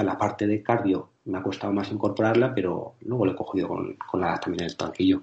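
With hardly any pauses, a man speaks at a fairly low pitch and with fairly even intonation. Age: 40s. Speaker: personal trainer and educator. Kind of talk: interview.

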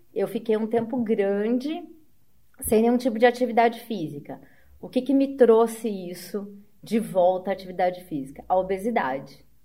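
With lively intonation, a woman speaks in an ordinary speaking voice at a fairly high pitch. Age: 40s. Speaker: amateur triathlete. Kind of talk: casual interview chat.

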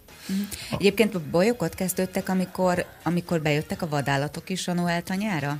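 A woman's fairly low-pitched voice at a fairly quick clip, ordinary pitch variation and hardly any pauses, over noticeable background noise. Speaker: radio morning show co-host. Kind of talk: radio interview. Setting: studio.

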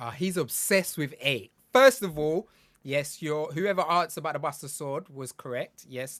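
A man speaks with a British accent and lively intonation at a fairly high pitch. The recording is very clean, with a silent background. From UK. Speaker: game industry consultant and content creator. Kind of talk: casual chat.

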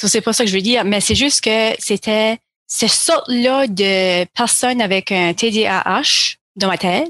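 A woman with an ordinary speaking voice talks at a fairly high pitch and a fairly slow pace, with ordinary pitch variation. Her loudness stays very even, and the sound is dry and close with no echo. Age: 30s. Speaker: counselling therapist. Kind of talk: interview conversation.

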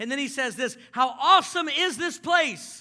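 A man with an extremely high pitch and a bright, sharp tone projects his raised voice at a fairly quick pace with ordinary pitch variation, on a very clean recording against a silent background. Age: 30s. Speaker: pastor. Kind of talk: sermon. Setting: church with congregation. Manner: animated.

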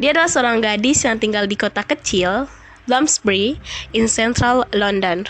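Her loudness stays very even as she speaks at a moderate pace. The woman has an Indonesian accent and a fairly high pitch with ordinary variation. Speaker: podcaster. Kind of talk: storytelling.

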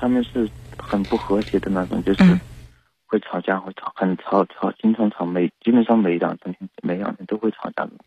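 A man's fairly low voice with a dark, mellow tone, a fairly quick pace and a dry, close sound with no echo. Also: ordinary pitch variation. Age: 20s. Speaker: radio hotline caller. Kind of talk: personal advice call. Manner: halting.

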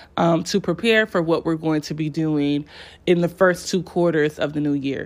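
A woman speaks at a moderate pace in a fairly low pitch and an animated tone. The recording is very clean with a silent background. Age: 20s. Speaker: podcast host. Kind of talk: solo podcast monologue.

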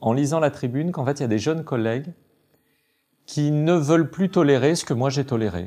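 A man's voice with a dark, mellow tone, lively intonation and a moderate pace. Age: 40s. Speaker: judge. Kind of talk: interview.

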